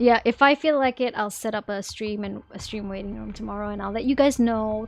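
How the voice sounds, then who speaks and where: Fairly high female speech at a moderate pace, ordinary pitch variation, music playing behind. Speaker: VTuber streamer. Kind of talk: live gameplay stream chat. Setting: live stream. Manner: casual, repetitive.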